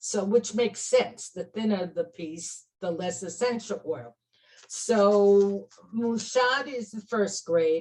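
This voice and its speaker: With a Brooklyn accent, a woman talks at a very slow pace, using a medium pitch and lively intonation. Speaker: clinical aromatherapist and teacher. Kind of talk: interview chat.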